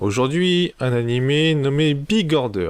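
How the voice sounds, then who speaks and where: With very wide swings in pitch, a man talks in a fairly high voice. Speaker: anime reviewer. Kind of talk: casual video review. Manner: improvised, animated.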